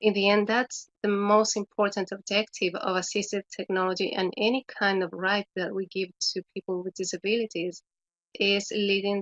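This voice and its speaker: A woman with a Spanish accent and a medium pitch speaks at a moderate pace with fairly even intonation. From Chile. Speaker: education specialist. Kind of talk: webinar presentation. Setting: online webinar.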